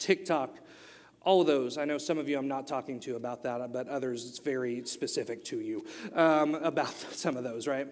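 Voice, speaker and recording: Here a man talks with an Oklahoma accent. His pace is moderate and his pitch variation ordinary. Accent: Oklahoma US South, noticeable. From Oklahoma, US. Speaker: youth pastor. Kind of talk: sermon. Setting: church.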